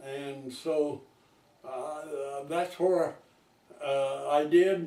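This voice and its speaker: A man speaking at a very slow pace amid noticeable background noise. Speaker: retired farmer. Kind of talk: oral history interview answer. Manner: hesitant, rambling.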